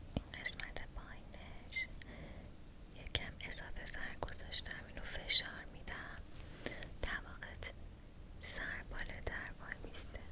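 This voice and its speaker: Soft-spoken, very slow speech with long, frequent pauses amid loud background noise. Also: woman. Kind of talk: ASMR roleplay talk to viewer. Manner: soft, close, hushed ASMR voice. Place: home room.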